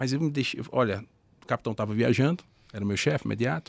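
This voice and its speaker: Ordinary pitch variation in a northeastern Brazilian accent. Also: man. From Northeast Brazil. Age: 40s. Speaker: former army sergeant and entrepreneur. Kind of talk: podcast interview.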